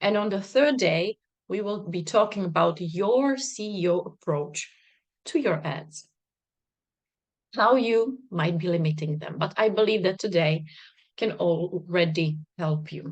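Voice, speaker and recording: Lively in intonation yet fairly slow, a woman with a fairly low pitch speaks with long, frequent pauses. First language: not English, not Czech. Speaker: business coach. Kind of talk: online masterclass.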